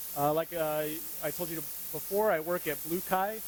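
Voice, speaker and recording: Loud and with fairly even intonation, a man with a high-pitched voice speaks at a moderate pace. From US, rural Montana. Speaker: UX designer, conference speaker. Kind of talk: conference talk. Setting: stage with audience.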